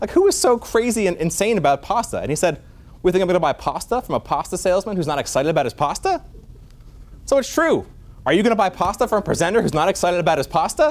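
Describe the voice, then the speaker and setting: Loud and animated, a man speaks at a very fast pace in a high pitch with lively intonation. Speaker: physician lecturer. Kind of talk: lecture. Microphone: no microphone, projecting voice.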